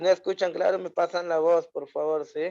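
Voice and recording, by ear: At a moderate pace, a man with a fairly high pitch and a dark, mellow tone speaks with fairly even intonation.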